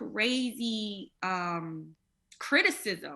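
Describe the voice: Vocal fry threads through a bright, sharp tone. The pace is very slow, and the intonation is lively. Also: woman, medium pitch for a woman.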